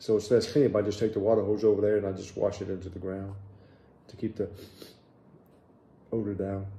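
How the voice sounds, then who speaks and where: Dark, mellow tone from a man, fairly low and somewhat breathy. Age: 60s. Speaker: vlogger. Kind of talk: casual vlog update. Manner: casual, hesitant with fillers.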